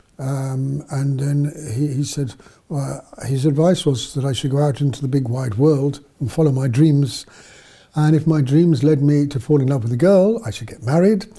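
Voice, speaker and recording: Somewhat breathy and dark, mellow in tone, a man with a southern English accent speaks at a moderate pace in a fairly high pitch with ordinary pitch variation. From southern England, near London. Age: 70s. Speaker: missionary priest. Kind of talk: interview storytelling. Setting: studio. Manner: halting, many fillers.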